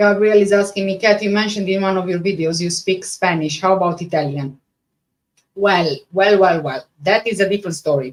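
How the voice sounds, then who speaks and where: With a Romanian accent, a woman speaks fairly quickly at a medium pitch with ordinary pitch variation. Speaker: true crime YouTuber. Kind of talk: live stream reading and chat reaction. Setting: live stream. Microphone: microphone issues, sound not the best.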